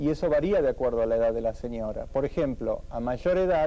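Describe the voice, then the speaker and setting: A man with an Argentine accent, fairly high in pitch, dark and mellow in tone, at a fairly quick pace with ordinary pitch variation. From Argentina. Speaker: fertility doctor. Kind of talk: TV interview. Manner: formal.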